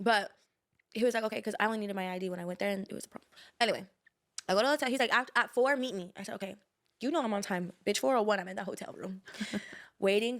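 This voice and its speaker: Talking very fast yet with long, frequent pauses, a woman speaks at a medium pitch with ordinary pitch variation. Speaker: storyteller recounting personal drama. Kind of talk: casual chat.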